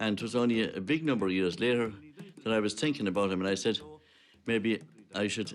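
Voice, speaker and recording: A man's fairly low voice in a western Irish accent, with ordinary pitch variation and music in the background. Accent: western Irish (Clare). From Ireland, County Clare. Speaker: traditional musician. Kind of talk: documentary interview, reminiscing.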